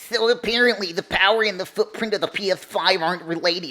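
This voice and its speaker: A female-sounding voice in a put-on character voice talks at a very fast pace with medium pitch for a woman. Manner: mocking.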